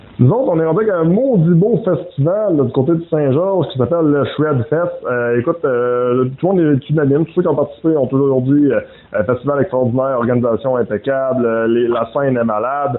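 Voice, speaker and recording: Lively in intonation, a man talks at a fairly quick pace with hardly any pauses. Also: fairly high pitch for a man. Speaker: interviewer. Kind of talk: interview.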